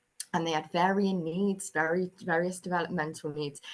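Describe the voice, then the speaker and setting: The speaker has a Bristol accent and a fairly slow pace. The intonation stays fairly even. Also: woman. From England, Bristol. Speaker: early years lecturer and researcher. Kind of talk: webinar presentation. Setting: online webinar with screen sharing.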